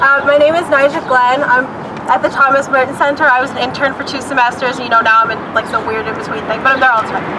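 Over crowd noise in the background, a raised, projected voice goes at a very fast pace with fairly even intonation. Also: woman, high pitch for a woman. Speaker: rally speaker reading a letter. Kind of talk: rally speech reading a formal advocacy letter aloud. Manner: formal, earnest, measured; reading steadily from a script, slightly halting in places. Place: street. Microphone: camera far.

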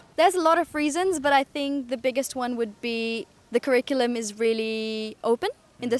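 Delivered at a fairly quick pace, the speech sounds dry with no echo. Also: woman. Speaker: interviewee. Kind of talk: interview answer. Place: street. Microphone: handheld.

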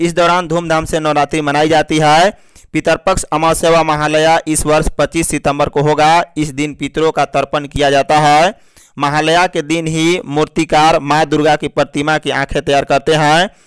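Clear, smooth in tone and fairly high-pitched, a man speaks at a moderate pace with little pitch movement.

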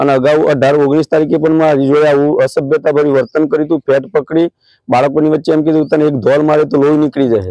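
This man has a dark, mellow tone and a fairly high pitch, with very even loudness, fairly even intonation and a dry, close sound with no echo. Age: 50s. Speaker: school teacher. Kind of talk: testimony.

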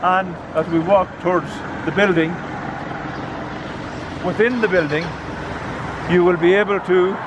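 Noticeable background noise sits under a man with a high pitch. He talks at a moderate pace with ordinary pitch variation. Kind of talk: interview answer. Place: street. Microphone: phone near.

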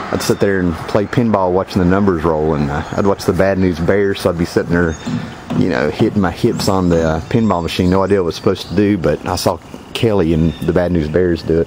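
A man with a very deep, low voice talks at a very fast pace, his intonation fairly even and his loudness very even, in a dry recording with no echo and noticeable background noise. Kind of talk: casual vlog chat. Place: car. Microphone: phone near.

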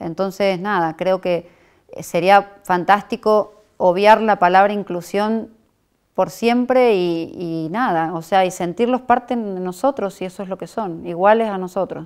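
A woman talks at a fairly slow pace with ordinary pitch variation. Her loudness swings widely against a quiet background. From Argentina, Córdoba; Argentina. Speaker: mother of a teen model. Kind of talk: interview. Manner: hesitant, many fillers. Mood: calm, reflective. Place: studio.

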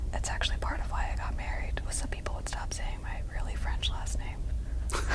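Over loud background noise, a woman whispers at a moderate pace. Her loudness stays very even. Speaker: librarian. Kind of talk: casual interview. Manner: whispered. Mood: light, playful. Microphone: handheld.

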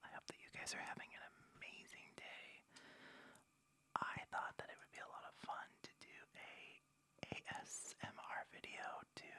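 A man whispers at a moderate pace, leaving long, frequent pauses. His loudness swings a lot. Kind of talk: ASMR gameplay commentary. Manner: whispered, soft.

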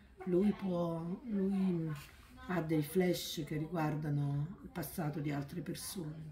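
A woman with a fairly low pitch speaks at a very slow pace with ordinary pitch variation. Noticeable background noise can be heard. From southern Italy, Naples area. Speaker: book author. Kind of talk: interview. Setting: bookshop event. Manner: halting, with many repetitions. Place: shop. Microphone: phone near.

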